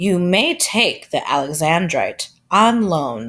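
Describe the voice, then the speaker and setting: A put-on character voice, female-sounding, middle-pitched and fairly slow. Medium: read story.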